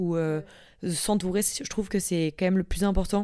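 A woman speaks at a moderate pace and medium pitch, her tone dark and mellow and her intonation fairly even. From Marseille, southern France. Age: 20s. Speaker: young professional. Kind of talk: casual interview.

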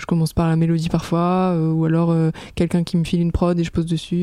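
A woman talks fairly quickly in a fairly low pitch. Her intonation is flat and monotone. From Aix-en-Provence, southern France. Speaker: pop singer. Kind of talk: casual chat. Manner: hesitant, many fillers.

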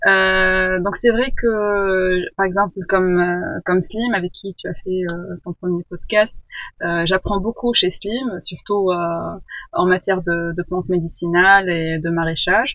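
Over music in the background, a woman with a medium pitch speaks at a very slow pace with fairly even intonation. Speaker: permaculture student. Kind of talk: interview. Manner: halting.

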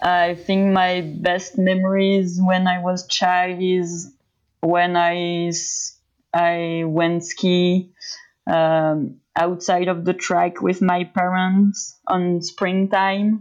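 A woman's medium-pitched voice with a French accent, very slow and monotone, at very even loudness, on a very clean recording with a silent background. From France. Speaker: pro skier. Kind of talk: interview.

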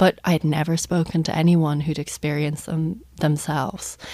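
Speaking at a moderate pace, a woman with an Irish accent keeps her intonation fairly even. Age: 30s. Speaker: journalist and author. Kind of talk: radio interview. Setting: studio.

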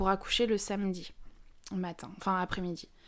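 A medium-pitched woman speaks on a very clean recording with a silent background. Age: 20s. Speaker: guest sharing personal story of perinatal loss. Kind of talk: testimony. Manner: halting.

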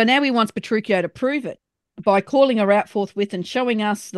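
A natural reading voice shows ordinary pitch variation over a quiet background.

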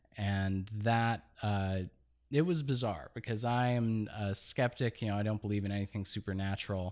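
Recorded very cleanly against a silent background, a man with an American accent and fairly low pitch speaks at a moderate pace with ordinary pitch variation. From Los Angeles, northeast (Eagle Rock area). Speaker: artist. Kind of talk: casual interview chat. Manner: halting, with frequent fillers.

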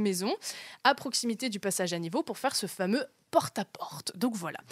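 Recorded very cleanly against a silent background, a woman with a plain, everyday voice talks fairly quickly at a fairly high pitch, the sound dry and close with no echo. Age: 20s. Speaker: journalist, podcaster. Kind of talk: casual storytelling.

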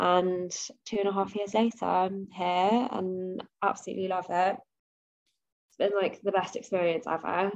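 Speaking in a London accent, a woman talks at a moderate pace with a medium pitch. Her intonation is fairly even, and she leaves long, frequent pauses. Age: 20s. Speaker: fashion buyer. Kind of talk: casual interview.

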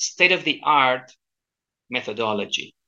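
A man speaks at a moderate pace with lively intonation. His tone is bright and sharp, with a Chilean accent. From Chile, Santiago. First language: Spanish. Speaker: language coach. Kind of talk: interview. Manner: halting.

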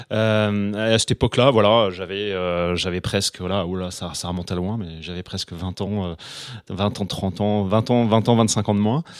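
A man's fairly low pitch, with fairly even intonation and a fairly slow pace. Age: 50s. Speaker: real estate agent. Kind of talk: casual interview. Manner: halting, many repetitions and fillers.

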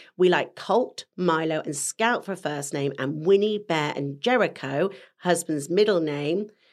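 On a very clean recording with a silent background, a woman with an ordinary speaking voice talks at a fairly slow pace, her pitch fairly low and her pitch variation ordinary. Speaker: podcast co-host. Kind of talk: casual chat.

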